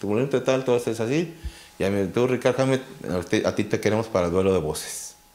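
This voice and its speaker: A man speaks at a fairly quick pace. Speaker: interview guest. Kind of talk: anecdotal interview storytelling. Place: studio. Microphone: handheld.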